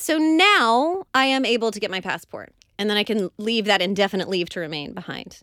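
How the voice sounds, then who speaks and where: With an American accent, a woman speaks at a fairly quick pace in a medium-pitched, bright, sharp tone with lively intonation. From Oklahoma. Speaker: podcast co-host. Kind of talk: casual chat. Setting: studio.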